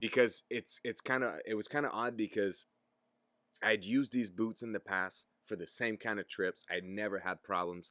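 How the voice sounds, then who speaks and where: In a French Canadian accent, a man talks at a moderate pace with a fairly low pitch, a bright, sharp tone and fairly even intonation, the sound dry and close with no echo. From Quebec, Gatineau. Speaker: podcast host, outdoor content creator. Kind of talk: casual chat.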